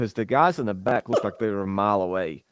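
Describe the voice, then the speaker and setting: A man with a Southern US accent talks at a fairly quick pace. The very clean recording has a silent background and a dry, close sound with no echo. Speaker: fitness podcast co-host. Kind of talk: casual chat.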